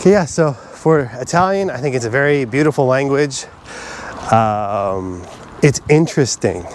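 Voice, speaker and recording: Noticeable background noise sits behind a man of medium pitch whose voice makes very wide pitch swings. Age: 40s. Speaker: vlogger. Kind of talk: personal reflection monologue. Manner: fast; halting.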